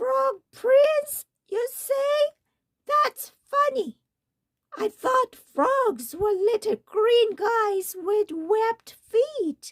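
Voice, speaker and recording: A woman uses a put-on character voice, squeaky and croaky at an extremely high pitch. Her pace is very slow. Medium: read story.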